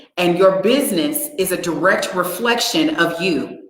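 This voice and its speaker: A loud voice moves at a fairly slow pace with very wide pitch swings. The room echo is audible. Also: woman. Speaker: livestream host and business conference organizer. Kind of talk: live stream chat. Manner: animated.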